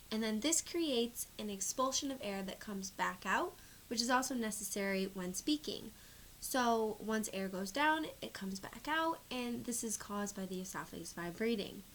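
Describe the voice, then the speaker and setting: In a normal speaking voice, a woman talks at a moderate pace. Her fairly high pitch carries lively intonation. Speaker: speech therapy student or clinician. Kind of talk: instructional explanation to camera.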